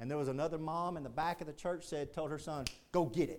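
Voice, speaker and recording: A man with a Texan accent, animated in tone, at a very fast pace. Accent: Texan Southern US. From Texas. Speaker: Baptist pastor. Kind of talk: sermon. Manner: animated, fervent preaching, punchy repetition, rising intensity; emphatic, pulpit-style call to the altar.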